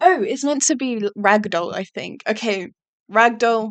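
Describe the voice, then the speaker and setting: An English accent at a moderate pace over a quiet background. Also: woman. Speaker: YouTuber. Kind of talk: casual monologue. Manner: monotone; hesitant, many fillers.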